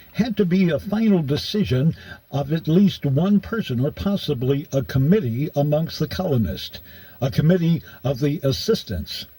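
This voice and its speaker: A man with an American accent speaks in a somewhat breathy, dark, mellow tone with lively intonation. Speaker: radio broadcaster. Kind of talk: audiobook narration.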